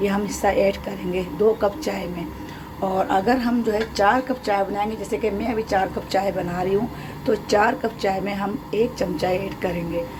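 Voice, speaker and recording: A woman's medium-pitched voice with fairly even intonation, over noticeable background noise. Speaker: cooking channel host. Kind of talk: cooking tutorial.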